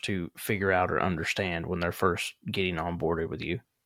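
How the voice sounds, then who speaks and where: A man speaks with a Southern accent. The recording is very clean, with a silent background. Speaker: podcast host. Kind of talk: podcast interview.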